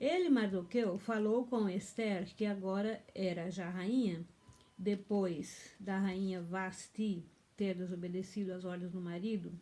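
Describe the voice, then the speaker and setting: A woman's dark, mellow tone sits at a medium pitch. She speaks at a very slow pace with fairly even intonation. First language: German (now dominant) (speaking Portuguese). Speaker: pastor. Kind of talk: bible teaching, partly reading aloud. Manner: halting.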